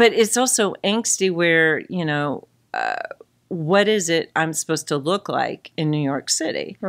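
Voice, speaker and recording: Speaking at a fairly slow pace, a woman with a fairly low pitch uses lively intonation. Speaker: podcast co-host. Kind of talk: casual chat. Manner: halting.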